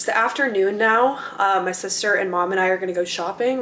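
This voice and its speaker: A woman with an American accent talks at a very fast pace and medium pitch with ordinary pitch variation, over noticeable background noise. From Minnesota. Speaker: vlogger. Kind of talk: casual vlog. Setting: at home in the kitchen. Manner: casual, filler-heavy.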